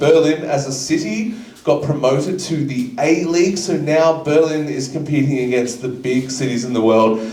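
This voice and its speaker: A man's fairly high voice in an Australian accent at a moderate pace, with noticeable background noise and audible room echo. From Australia, Melbourne. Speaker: comedy show host. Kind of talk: stand-up. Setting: stage with audience. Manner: casual, hesitant with fillers.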